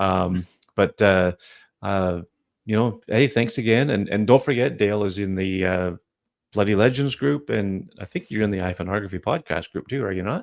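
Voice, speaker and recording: A man speaks at a moderate pace in a fairly low pitch with a Canadian accent and ordinary pitch variation. It's an ordinary speaking voice, with a dry, close sound with no echo and a quiet background. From Canada. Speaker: podcast host. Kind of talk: casual chat. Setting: live video stream.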